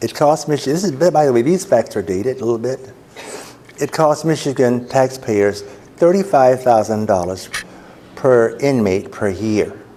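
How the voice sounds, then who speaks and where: A man talks at a moderate pace with lively intonation and a medium pitch. Noticeable background noise can be heard. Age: 70s. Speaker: ministry director. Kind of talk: presentation to a club.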